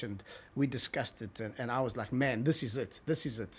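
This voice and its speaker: In a strong South African accent, a man talks at a moderate pace. His pitch is medium. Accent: South African, very strong. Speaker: TV executive. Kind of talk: casual interview. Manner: halting, many repetitions.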